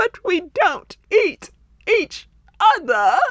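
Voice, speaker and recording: In a squeaky put-on character voice, the speaker hits an extremely high pitch with very wide pitch swings. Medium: read story.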